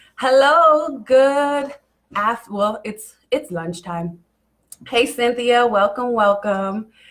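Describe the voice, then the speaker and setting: A woman with an American accent speaks at a very slow pace. Her high voice has lively intonation. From Kansas City, Missouri (urban core). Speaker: life coach. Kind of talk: live stream motivational talk. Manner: casual, conversational with fillers.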